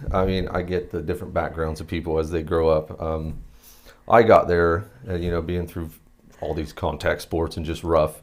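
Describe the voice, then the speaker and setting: With a southern Ohio accent, a man speaks at a very deep, low pitch and a moderate pace, his intonation monotone and flat. The recording is very clean, with a silent background. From Southern Ohio, Athens County. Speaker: military veteran. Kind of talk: interview.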